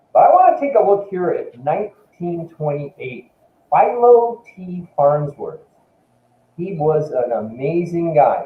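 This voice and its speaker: A man with lively intonation at a fairly slow pace. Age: 60s. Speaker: company executive giving a talk. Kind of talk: webinar presentation. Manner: halting, with frequent fillers and repeats.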